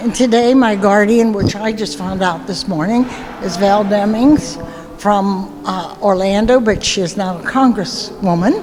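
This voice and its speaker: A woman at a fairly slow pace with ordinary pitch variation, music in the background and audible room echo. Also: medium pitch for a woman. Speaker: marine corps veteran. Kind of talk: short personal testimony. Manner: halting, hesitant.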